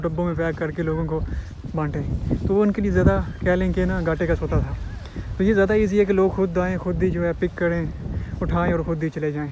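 Over faint background noise, a man with a fairly high pitch and a dark, mellow tone speaks at a fairly quick pace.

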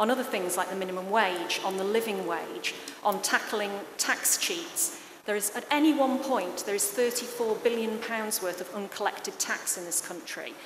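Noticeable background noise fills the clip. In it, a woman speaks at a moderate pace, her pitch varying in an ordinary way. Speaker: parliamentary candidate; candidate. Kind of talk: political debate. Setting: stage with live audience, broadcast on radio. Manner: loud. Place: stage. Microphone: podium.

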